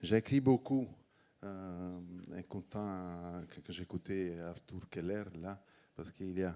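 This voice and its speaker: Very deep and low, a man's voice carries a dark, mellow tone. He speaks with a Neapolitan accent at a very slow pace. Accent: Neapolitan Italian accent in French. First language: Italian (speaking French). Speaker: wine organization president. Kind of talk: conference talk.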